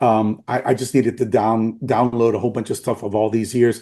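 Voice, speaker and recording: In a Spanish accent, a man with a medium pitch and a dark, mellow tone speaks at a moderate pace against a quiet background. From Puerto Rico. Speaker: former chiropractic college president. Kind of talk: interview.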